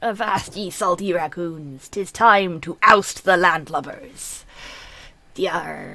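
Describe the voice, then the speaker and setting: Using a put-on character voice, a female-sounding speaker talks at a very slow pace at a medium pitch for a woman. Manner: exaggerated, gruff.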